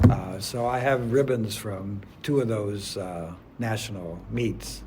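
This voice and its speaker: Against noticeable background noise, a man talks at a very slow pace with a fairly low pitch and ordinary pitch variation. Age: 80s+. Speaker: adjunct math professor and masters track athlete. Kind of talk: interview answer.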